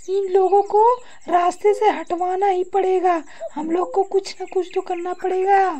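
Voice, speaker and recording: A woman uses a cartoonish character voice at an extremely high pitch, speaking at a moderate pace with monotone, flat intonation. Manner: harsh, domineering.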